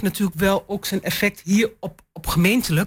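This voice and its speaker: A somewhat breathy woman's voice at medium pitch, moderate pace and ordinary pitch variation, on a very clean recording with a silent background. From eastern Netherlands, Twente. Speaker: local councillor. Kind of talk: panel discussion.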